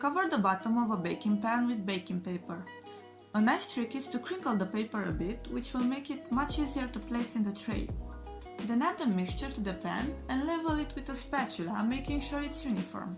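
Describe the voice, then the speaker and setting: The speaker has a strong non-native accent and very wide pitch swings. Music plays in the background. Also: woman, fairly high pitch for a woman, fairly quick pace. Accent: thick non-native. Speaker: home cook. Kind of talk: cooking tutorial voice-over.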